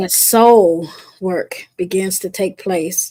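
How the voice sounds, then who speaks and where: Her voice has a dark, mellow tone, and this woman speaks at a medium pitch. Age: 60s. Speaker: guest on wellness podcast. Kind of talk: casual chat.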